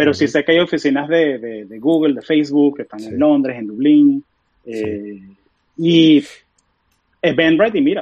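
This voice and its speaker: A man with a fairly high pitch speaks at a moderate pace, using lively intonation and long, frequent pauses. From Venezuela (Caracas), moved to Florida, US at 13. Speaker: software engineer. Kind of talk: casual interview chat.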